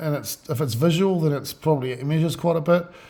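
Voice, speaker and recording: Somewhat breathy, a man's dark, mellow voice moves with ordinary pitch variation. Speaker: boat builder. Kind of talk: tutorial. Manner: halting, many fillers.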